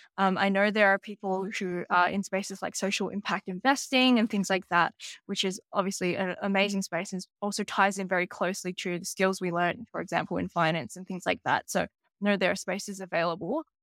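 A woman with an Australian accent talks at a fairly quick pace, her medium-pitched voice keeping fairly even intonation. The recording is very clean, with a silent background and a dry, close sound with no echo. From Sydney, Australia. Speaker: business strategy analyst. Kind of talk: podcast interview.

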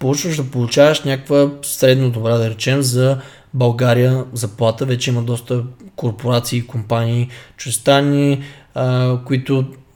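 A man's plain, everyday voice at medium pitch, with fairly even intonation and a moderate pace. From Bulgaria, Stara Zagora. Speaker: fitness coach podcast co-host. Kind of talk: casual chat.

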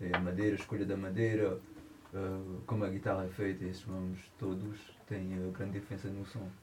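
A man talks at a fairly quick pace in a very deep, low pitch with monotone, flat intonation. Noticeable background noise and audible room echo fill the recording. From France. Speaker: musician, guitarist and singer. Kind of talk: casual chat. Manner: halting.

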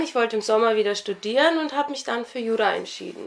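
A woman's fairly high voice, with ordinary pitch variation, rushes along at a very fast pace. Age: 20s. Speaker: local election candidate and law student. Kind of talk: interview. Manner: hesitant with many fillers.

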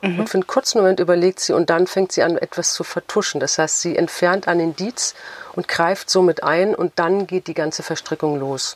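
A woman with an unremarkable speaking voice talks fairly quickly at a fairly low pitch, with ordinary pitch variation and a dry, close sound with no echo. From Frankfurt, Germany. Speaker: novelist. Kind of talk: interview.

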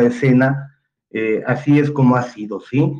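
A man speaks at medium pitch. His tone is dark and mellow. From Mexico, Jalisco. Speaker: theatre director and playwright. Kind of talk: casual panel discussion.

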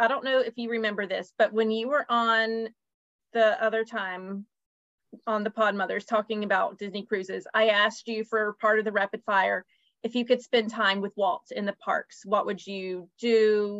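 Dry, close, and free of echo, the recording holds a woman's normal speaking voice, fairly high in pitch, with fairly even intonation at a moderate pace. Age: 40s. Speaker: podcast host, travel agent. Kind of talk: casual chat. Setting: video call.

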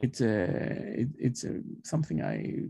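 Here a man with a Greek accent speaks in a dark, mellow tone. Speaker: professor. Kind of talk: interview. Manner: halting.

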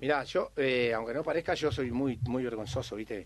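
Against a quiet background, a man talks at a moderate pace in an unremarkable speaking voice, medium in pitch with ordinary pitch variation. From Uruguay, Montevideo (Cerro). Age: 50s. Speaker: tropical music singer. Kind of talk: radio interview.

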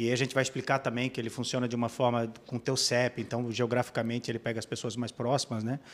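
Delivered at a very fast pace with hardly any pauses, the speech keeps a monotone, flat intonation. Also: man, medium pitch for a man. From Blumenau, Santa Catarina, Brazil. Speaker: app co-founder. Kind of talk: podcast interview.

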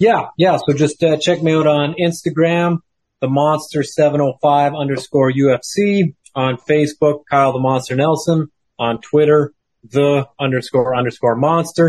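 A man with an unremarkable speaking voice talks fairly slowly at a fairly high pitch, with fairly even intonation and very even loudness. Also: dry, close sound with no echo. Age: 30s. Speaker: professional MMA fighter.

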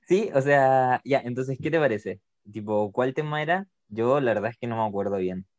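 A man speaks with a Chilean accent. The sound is dry and close, with no echo. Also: medium pitch for a man, ordinary pitch variation, moderate pace. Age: 20s. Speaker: podcast co-host. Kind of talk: casual chat.

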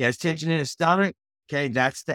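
In a very clean recording with a silent background, a man speaks with an American accent, the sound dry and close with no echo. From Austin, Texas. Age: 40s. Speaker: author and speaker. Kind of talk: motivational talk. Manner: fast talker; animated, enthusiastic.

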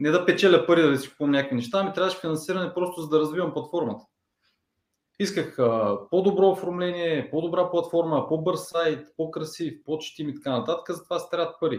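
This man speaks at a fairly quick pace in a high pitch, his intonation fairly even. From Bulgaria, Ruse. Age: 30s. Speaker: online media entrepreneur. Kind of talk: interview.

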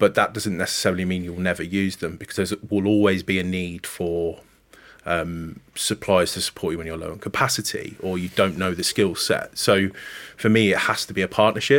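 A man with a West Midlands accent has a very deep, low voice and fairly even intonation. He talks at a fairly quick pace with big swings in loudness. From Coventry, England. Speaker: talent acquisition manager. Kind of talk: casual interview chat.

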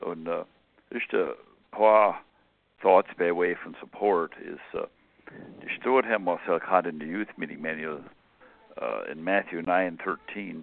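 A man with a Pennsylvania Dutch accent, fairly slow in pace, with long, frequent pauses. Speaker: caller. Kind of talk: devotional talk. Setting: phone call.

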